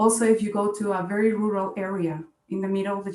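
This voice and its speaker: A woman with a Spanish accent, amid noticeable background noise and audible room echo. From Colombia, Bogota. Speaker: scientist. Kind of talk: panel discussion.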